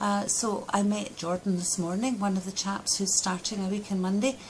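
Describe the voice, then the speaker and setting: Here a woman speaks in a Scottish accent. There is light background noise. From Scotland. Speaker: Scottish parliament member. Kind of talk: video diary update. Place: office. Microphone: phone near.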